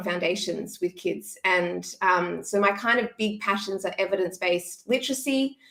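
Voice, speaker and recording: Her tone bright and sharp, a woman with an Australian accent speaks at a medium pitch. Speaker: former teacher, education content creator. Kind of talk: casual interview.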